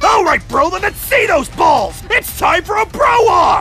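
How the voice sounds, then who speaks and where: A man shouts at a moderate pace over clear background noise. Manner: loud, macho, slangy.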